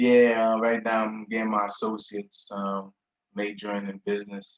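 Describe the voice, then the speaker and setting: A man with an American accent speaks at a moderate pace and fairly low pitch. His intonation is monotone and flat. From Haiti. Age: 30s. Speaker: college student. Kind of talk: interview. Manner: casual.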